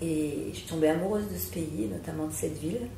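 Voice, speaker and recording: The room echo can be heard. A woman speaks at a fairly quick pace. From France, Alsace (Strasbourg). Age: 60s. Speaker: psychotherapist. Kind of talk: interview.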